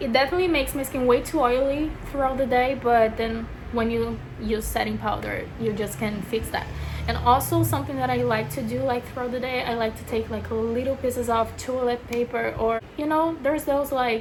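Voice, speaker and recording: Speaking at a fairly quick pace with a Brazilian accent, a woman is heard through audible room echo and noticeable background noise. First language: Portuguese. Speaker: beauty vlogger. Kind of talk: casual chat. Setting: bedroom. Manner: casual, filler-heavy (lots of 'like').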